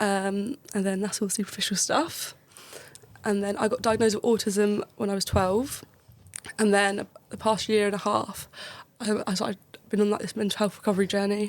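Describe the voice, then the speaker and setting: A woman with a southern English accent, medium in pitch, at a moderate pace, in a monotone, flat delivery with long, frequent pauses. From Kent, south-east England. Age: 20s. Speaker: medical student. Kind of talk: podcast interview.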